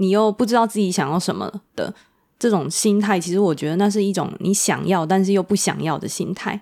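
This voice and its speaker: At a fairly quick pace, a woman speaks at a medium pitch with a dark, mellow tone and fairly even intonation. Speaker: counseling psychologist. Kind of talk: casual interview.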